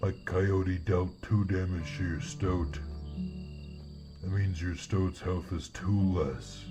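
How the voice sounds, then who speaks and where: A man's very deep, low put-on character voice at a very slow pace, clear music in the background. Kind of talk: video game character voice-over.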